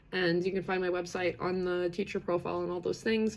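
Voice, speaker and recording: A woman speaks in a fairly low voice with vocal fry and a Canadian accent. She talks at a fairly quick pace. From western Canada, British Columbia. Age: 30s. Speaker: livestream host on neurodiversity. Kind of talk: live stream community chat. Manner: many fillers, animated.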